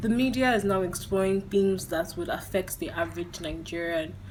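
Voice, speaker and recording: Audible room echo and noticeable background noise around a woman talking at a moderate pace. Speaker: film reviewer. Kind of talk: video review.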